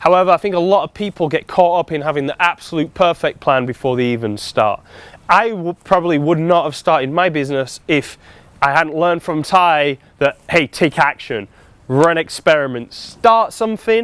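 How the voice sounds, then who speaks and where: With a British accent, a man speaks at a moderate pace in a fairly high voice, his intonation lively and the sound dry and close with no echo. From UK. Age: 40s. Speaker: life coach. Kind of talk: seminar talk.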